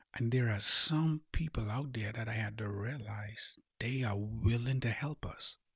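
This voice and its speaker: Somewhat breathy, a man talks at a medium pitch. His pace is fairly slow, and his pitch varies in an ordinary way. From Bahamas (Eleuthera, schooling in Nassau). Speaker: life coach and podcast host. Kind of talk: motivational monologue.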